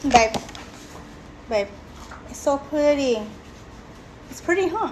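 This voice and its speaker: A woman's high voice with an American accent, lively intonation, and a fairly slow pace with long, frequent pauses amid noticeable background noise. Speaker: beauty vlogger. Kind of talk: casual live-stream chat. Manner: animated.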